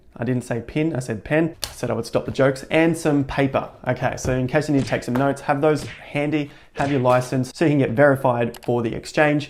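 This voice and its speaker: Talking at a fairly quick pace with hardly any pauses, a man speaks at a fairly high pitch. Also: fairly even intonation. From Australia. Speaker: crypto tutorial youtuber. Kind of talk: tutorial. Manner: casual, joking.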